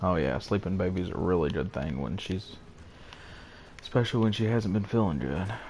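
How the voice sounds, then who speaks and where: Quiet and very deep, a man talks at a fairly quick pace with lively intonation and long, frequent pauses. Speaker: gaming streamer. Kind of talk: casual gameplay commentary with chat. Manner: quiet, holding voice down.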